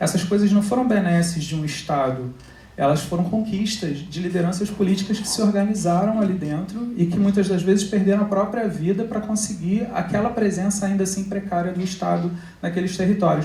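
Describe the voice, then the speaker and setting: The speech moves at a fairly quick pace. Noticeable background noise runs under it. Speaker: academic researcher, debate panelist. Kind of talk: panel talk. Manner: fast.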